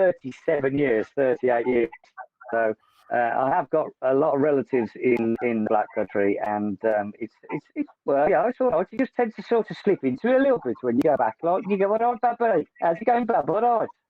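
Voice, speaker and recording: Speaking at a fairly quick pace in a West Midlands accent, the voice makes very wide pitch swings. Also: man, fairly high pitch for a man. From West Midlands, England (Sutton Coldfield, Solihull). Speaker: bass player and vocalist in a band. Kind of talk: casual chat.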